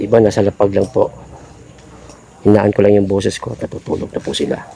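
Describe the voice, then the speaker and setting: Noticeable background noise sits behind a man who speaks at a very fast pace with fairly low pitch. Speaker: vlogger. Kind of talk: live vlog walkthrough. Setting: outdoors at night among sleeping supporters. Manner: lowered voice.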